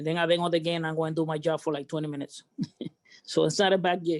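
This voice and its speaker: A man's high-pitched voice with a Cuban accent, dry and close with no echo. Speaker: baseball memorabilia authenticator. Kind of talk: casual group chat.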